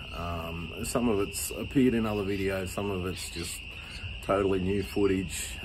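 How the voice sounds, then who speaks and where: Noticeable background noise sits behind a man with an Australian accent. He speaks at a fairly slow pace and fairly low pitch. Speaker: farmer and blacksmith. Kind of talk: casual talk to camera. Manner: off the cuff, hesitant. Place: home room. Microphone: phone near.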